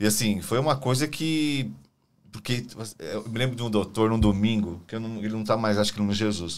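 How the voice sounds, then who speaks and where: In a normal speaking voice, a man talks at a moderate pace and fairly low pitch with ordinary pitch variation. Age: 50s. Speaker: podcast co-host and hospital worker. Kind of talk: casual interview chat.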